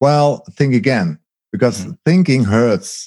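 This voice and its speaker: A man with a Dutch accent speaks at a fairly slow pace in a dry, close sound with no echo. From Netherlands, agricultural region. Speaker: documentary maker. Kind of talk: interview. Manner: halting.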